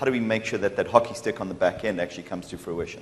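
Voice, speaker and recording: A man talks at a medium pitch while noticeable noise fills the background. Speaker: partner program manager. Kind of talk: conference presentation. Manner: loud.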